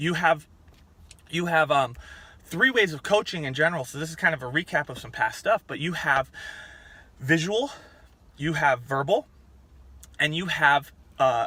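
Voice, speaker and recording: Bright and sharp in tone, a man speaks at a moderate pace. His pitch is fairly high, with ordinary variation. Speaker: fitness coach. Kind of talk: tutorial. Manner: loud.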